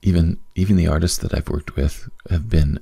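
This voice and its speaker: A soft-spoken man talks at a moderate pace with a very deep, low pitch and vocal fry. His tone is dark and mellow. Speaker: podcast host and business coach. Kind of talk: casual solo monologue. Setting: at home late at night. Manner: soft-spoken, quiet; rambling with many fillers.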